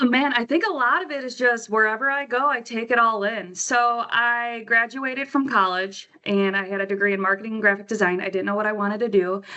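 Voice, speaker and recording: With an American accent, a woman speaks at a fairly high pitch with ordinary pitch variation. She keeps a fairly quick pace with hardly any pauses. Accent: Wisconsin accent (allegedly). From Wisconsin, US. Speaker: yearbook graphic designer. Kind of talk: casual podcast interview.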